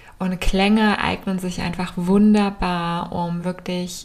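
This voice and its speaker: With a gentle, calm tone, a woman speaks in a fairly low, somewhat breathy voice and flat, monotone intonation. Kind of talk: guided meditation. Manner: slow, calm, soothing, with long pauses; soft-spoken, gentle.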